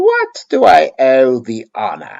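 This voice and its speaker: At a fairly slow pace, a man performs in a put-on character voice. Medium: read story. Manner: sneering.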